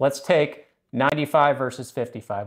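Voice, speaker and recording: There is little sound around a man as he speaks. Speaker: HVAC educator. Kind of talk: tutorial.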